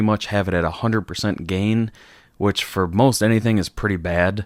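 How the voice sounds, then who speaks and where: A plain, everyday voice from a man, fairly low in pitch, with fairly even intonation at a fairly quick pace, in a very clean recording with a silent background. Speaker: vlogger. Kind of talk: casual vlog talk. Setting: home room being redone. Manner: casual, many fillers. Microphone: new dynamic broadcast mic with preamp, gain being adjusted; far from the mic, about a foot.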